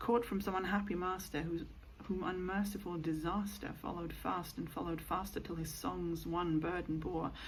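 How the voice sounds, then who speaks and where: A soft-spoken woman talks at a fairly low pitch with vocal fry. Her intonation is fairly even and her pace moderate. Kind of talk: poetry reading. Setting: home recording with rain sounds.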